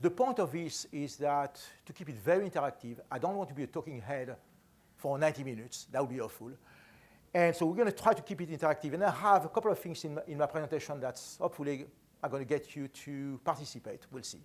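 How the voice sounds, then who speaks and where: A man with a French accent talks at a very fast pace in a fairly high pitch, with lively intonation and big swings in loudness. The recording is very clean with a silent background. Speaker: enterprise architect, conference speaker. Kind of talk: conference talk.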